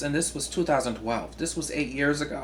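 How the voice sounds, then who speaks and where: With a Southern US accent, a man speaks at fairly high pitch. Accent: Southern drawl. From US South. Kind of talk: casual talk to camera.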